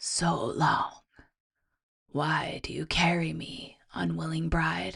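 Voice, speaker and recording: This put-on character voice is low-pitched, resonant and raspy. It unfolds at a very slow pace. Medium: read story. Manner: gentle, solemn.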